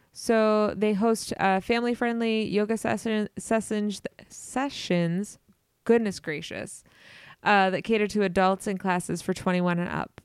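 Very clean, with a silent background, this recording has a woman at a medium pitch and fairly slow pace. She has a plain, everyday voice with fairly even intonation. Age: 30s. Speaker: podcast co-host. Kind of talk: casual chat.

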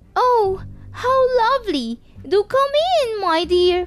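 A woman cackles in a put-on character voice, croaky and extremely high-pitched, at a fairly slow pace. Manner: feigning sweetness.

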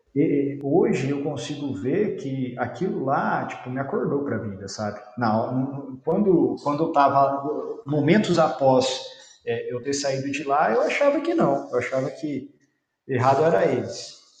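With audible room echo, a man talks in a fairly high voice at a fairly slow pace with ordinary pitch variation. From Brazil, interior of São Paulo state. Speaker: environmental engineer, company founder. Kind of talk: casual interview.

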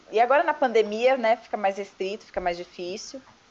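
Noticeable background noise accompanies a woman with a fairly high pitch, lively intonation and a moderate pace. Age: 30s. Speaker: podcast guest. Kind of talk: casual chat.

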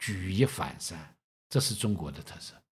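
The speaker is a man. His voice has vocal fry. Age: 60s. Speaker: host's father. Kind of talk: casual chat.

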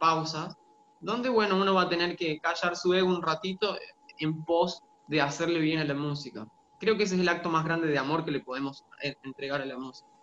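Against noticeable background noise, a man with a high voice talks at a fairly quick pace. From Argentina, Santiago del Estero. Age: 30s. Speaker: singer-songwriter and music teacher. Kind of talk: interview.

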